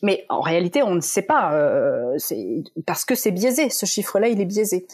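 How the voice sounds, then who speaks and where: A woman's voice moves through very wide pitch swings. The background is quiet. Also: medium pitch for a woman, fairly slow pace. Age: 30s. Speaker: psychology researcher and author. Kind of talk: interview.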